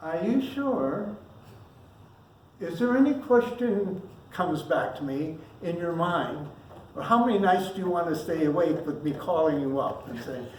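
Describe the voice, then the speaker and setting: Through noticeable background noise, the speaker keeps a moderate pace broken by long, frequent pauses. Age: 80s+. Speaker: minister. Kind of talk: sermon. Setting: church service. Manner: casual, off script.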